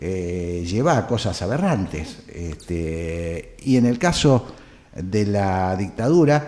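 A man's voice with a dark, mellow tone. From Argentina, San Juan then Buenos Aires area. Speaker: journalist. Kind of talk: interview. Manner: hesitant, many fillers.

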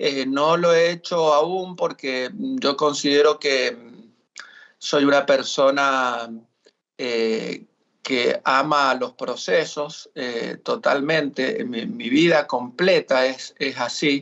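This man talks at a very slow pace, with a fairly high pitch and ordinary pitch variation. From Argentina, Mendoza. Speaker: singer-songwriter. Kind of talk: casual interview.

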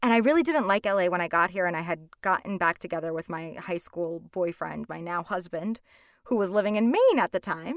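An unremarkable speaking voice, a woman's at a fairly low pitch, comes with an American accent, a fairly quick pace and ordinary pitch variation, the sound dry and close with no echo. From Hudson County, New Jersey. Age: young. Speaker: audiobook narrator and actor. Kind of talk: interview.

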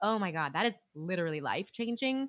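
This woman has an American accent, an animated tone and a medium pitch, speaking at a moderate pace. The recording is very clean with a silent background, and the sound is dry and close with no echo. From US West Coast, central coast of California. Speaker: Broadway actress. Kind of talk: casual chat.

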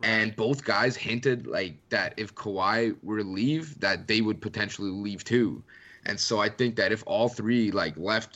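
Speaking at a moderate pace, a man with a slight Canadian accent has a bright, sharp tone. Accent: Canadian English, mild. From Canada. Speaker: sports writer. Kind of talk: casual chat.

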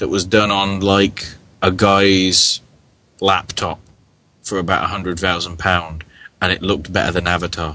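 A man with a British accent, very deep and low in pitch, bright and sharp in tone, monotone and flat, fairly slow with long, frequent pauses. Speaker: podcast co-host. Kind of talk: casual live chat.

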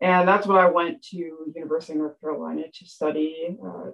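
A plain, everyday voice from a woman with an American accent, fairly low in pitch, at a moderate pace. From US, Appalachian Pennsylvania. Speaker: professor. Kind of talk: interview.

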